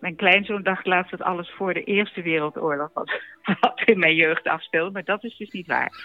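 Over noticeable background noise, a woman speaks at a moderate pace in a medium pitch, with ordinary pitch variation and big swings in loudness. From Netherlands, Amsterdam. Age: 80s+. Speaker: elderly relative recalling childhood. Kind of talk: personal anecdote.

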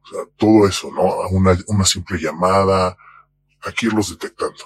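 Delivered in a Mexican accent, the monotone, flat intonation comes through with a dry, close sound and no echo. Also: man. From Mexico. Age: 40s. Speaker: anonymous interviewee. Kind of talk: testimony.

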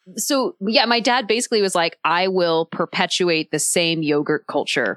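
A woman speaks at a fairly slow pace. The sound is dry and close with no echo, over a quiet background. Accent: American. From Texas. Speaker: food writer. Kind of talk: casual chat. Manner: animated.

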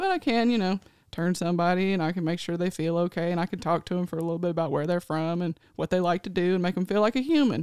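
Rushing at a very fast pace with hardly any pauses, a woman with a fairly low pitch and ordinary pitch variation is heard in a dry, close sound with no echo. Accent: Tennessee. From Nashville, Tennessee. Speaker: ICU travel nurse and social media creator. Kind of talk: casual chat. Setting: studio.

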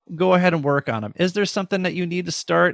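This man talks with lively intonation in a very clean recording with a silent background and a dry, close sound with no echo. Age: 40s. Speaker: former educator and podcast host. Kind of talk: interview conversation. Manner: animated.

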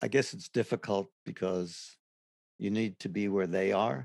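Heard with an American accent and vocal fry, the voice shows ordinary pitch variation in a very clean recording, dry and close with no echo and a silent background. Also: man. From New York City (Brooklyn). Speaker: hunger walk volunteer. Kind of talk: interview.

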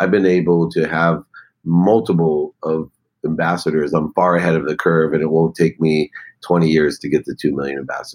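A man talks in a very deep, low pitch with fairly even intonation. The pace is moderate, and the sound is dry and close with no echo. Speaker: business coach and public speaker. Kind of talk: interview.

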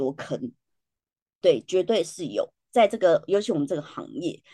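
A woman speaks at a moderate pace with a dark, mellow tone and vocal fry, recorded dry and close with no echo. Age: 40s. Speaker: educator and podcaster. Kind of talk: interview. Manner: laughs often.

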